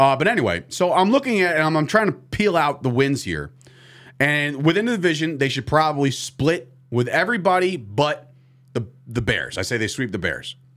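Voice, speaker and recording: A man's fairly high voice carries vocal fry. His pitch swings very widely. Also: moderate pace, very clean recording, silent background. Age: 30s. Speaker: sports podcast host. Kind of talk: casual chat. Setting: studio.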